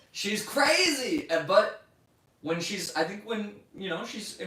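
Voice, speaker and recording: A man speaks fairly slowly in a raised, projected voice with ordinary pitch variation, amid audible room echo and noticeable background noise. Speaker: livestreamer. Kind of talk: casual chat. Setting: livestream. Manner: loud, voice carries.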